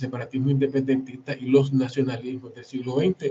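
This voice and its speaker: Somewhat breathy, a man talks at a fairly quick pace and medium pitch in monotone, flat intonation. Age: 60s. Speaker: historian and author. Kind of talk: book presentation talk. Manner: halting, with repetitions.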